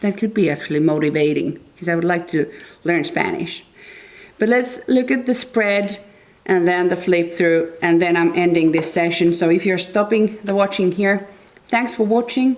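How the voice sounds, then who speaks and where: In a Finnish accent, the speaker goes at a moderate pace with ordinary pitch variation. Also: woman, medium pitch for a woman. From Finland. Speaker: tarot and astrology youtuber. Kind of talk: book review monologue. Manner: halting.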